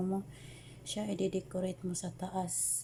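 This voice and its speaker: The voice is soft-spoken. It moves at a fairly slow pace. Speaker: overseas domestic worker cooking vlogger. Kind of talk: cooking tutorial. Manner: soft-spoken, quiet.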